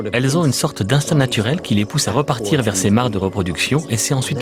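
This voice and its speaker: Amid noticeable background noise, a man with a medium pitch speaks at a very fast pace. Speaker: voice actor. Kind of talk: nature documentary voice-over. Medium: dub.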